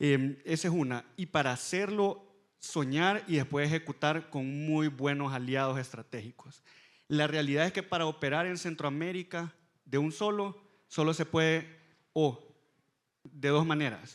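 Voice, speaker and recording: A man with a Salvadoran accent speaks at a fairly slow pace and fairly high pitch, with ordinary pitch variation. The recording is very clean, the background silent. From El Salvador. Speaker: fintech company executive. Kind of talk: panel discussion.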